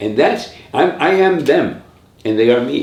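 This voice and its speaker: A man talks at a fairly slow pace with audible room echo around him. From New York, raised from age 5 by Puerto Rican family. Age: 70s. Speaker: artist and retired art teacher. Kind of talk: oral history interview. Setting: home studio.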